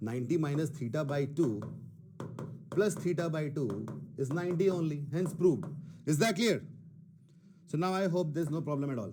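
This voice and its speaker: A man with a fairly high pitch and a dark, mellow tone speaks with ordinary pitch variation. Long, frequent pauses break up his speech, and room echo is audible. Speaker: math teacher. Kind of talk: online class lecture. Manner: Hindi-English code-switching; moderate pace, self-described not fast.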